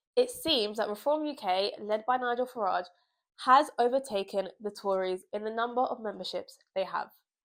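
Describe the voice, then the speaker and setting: A woman with a British accent speaks at a moderate pace on a very clean recording with a silent background. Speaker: political commentator. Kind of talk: political commentary vlog.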